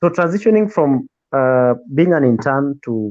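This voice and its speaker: With a Kenyan accent, a man speaks at a moderate pace. His pitch is fairly high and varies in an ordinary way. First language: Luo. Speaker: radio presenter. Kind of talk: interview.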